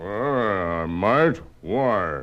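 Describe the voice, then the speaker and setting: A man's put-on character voice, fairly low in pitch, with very wide pitch swings. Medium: audio drama. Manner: boastful, sneering.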